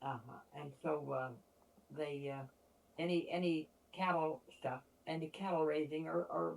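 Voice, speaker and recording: With noticeable background noise, a woman with an American accent speaks at a very deep, low pitch and ordinary pitch variation. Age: 80s+. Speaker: family elder recalling ranch childhood. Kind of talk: oral history interview. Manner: halting.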